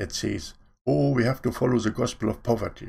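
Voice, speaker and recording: Against a quiet background, a man at medium pitch speaks with vocal fry. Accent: non-native. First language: not English. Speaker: online preacher. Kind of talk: sermon. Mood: earnest, preaching. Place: home room. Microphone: webcam.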